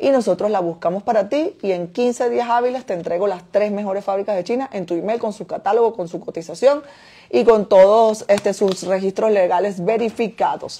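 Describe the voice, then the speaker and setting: At a fairly quick pace, a woman talks in a dark, mellow tone. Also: medium pitch for a woman, ordinary pitch variation. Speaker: import business owner and online teacher; import business host. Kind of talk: Q&A livestream answering viewer questions. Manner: fast. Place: home room. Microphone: phone near.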